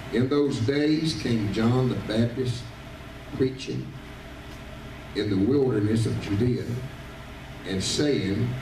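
Over noticeable background noise, a man speaks at a very slow pace with long, frequent pauses, very even loudness and ordinary pitch variation. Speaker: visiting preacher. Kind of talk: sermon. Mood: warm, joking family anecdote. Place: church.

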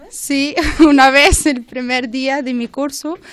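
A woman speaks with a high pitch. The sound is dry, with no echo. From Morocco. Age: 20s. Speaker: workshop participant. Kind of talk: radio interview. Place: studio.

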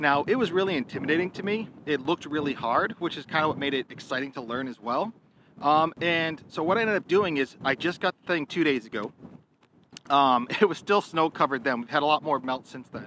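A man speaks with a bright, sharp tone. Light background noise can be heard. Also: fairly quick pace, dry sound with no echo. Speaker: hobbyist reviewer. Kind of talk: casual vlog chat. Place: street.

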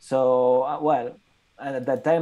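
Against a quiet background, a man with a Spanish accent speaks in a dark, mellow tone with fairly even intonation. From Catalonia, Spain. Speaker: photographer. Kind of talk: presentation. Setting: video call. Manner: halting. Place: home room. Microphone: earbuds.

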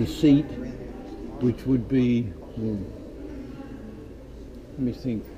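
Amid noticeable background noise, a man talks at a very slow pace with long, frequent pauses and fairly even intonation. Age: 80s+. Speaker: war veteran, former ball-turret gunner. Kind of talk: casual reminiscing conversation. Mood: reflective, reminiscing. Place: hall. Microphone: phone near.

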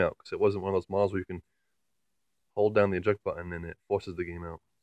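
A man speaks very fast in a fairly low pitch. The sound is dry with no echo, and the background is quiet. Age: 20s. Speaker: YouTuber. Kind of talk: casual vlog, show-and-tell. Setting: at home, in and below the attic. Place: home room. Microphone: phone near.

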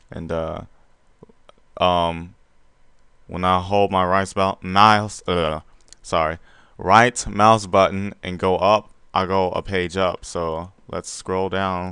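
With long, frequent pauses at a very slow pace, a man speaks in a very deep, low voice with a bright, sharp tone and monotone, flat intonation over a quiet background. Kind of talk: casual software walkthrough narration. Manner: casual, hesitant with many fillers.

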